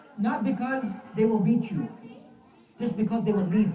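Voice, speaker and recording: In a room with audible echo and music in the background, a man with an American accent speaks in an animated tone. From US, Brooklyn, New York, with Pakistani family roots. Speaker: Islamic scholar giving a religious talk. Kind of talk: sermon. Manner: animated, repetitive for emphasis.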